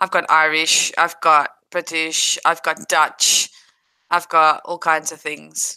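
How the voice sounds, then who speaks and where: With a South African accent, a woman speaks at a very slow pace in a very deep, low pitch, her bright, sharp tone staying monotone and flat while her loudness swings widely. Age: 30s. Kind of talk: casual chat. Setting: livestream.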